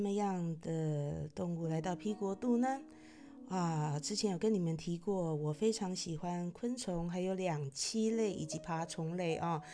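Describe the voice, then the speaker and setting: Over music in the background, a woman talks at a fairly slow pace with lively intonation. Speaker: podcast host. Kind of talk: casual monologue. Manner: hesitant, many filler particles.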